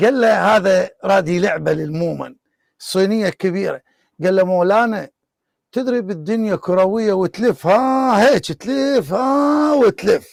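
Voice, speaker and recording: A man with an Iraqi accent and a high pitch, in a dry, close recording with no echo. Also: lively intonation. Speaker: online debate show host. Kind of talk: casual anecdote; live online debate.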